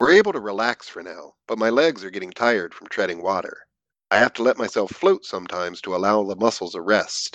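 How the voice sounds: Against a quiet background, the clip carries a natural reading voice.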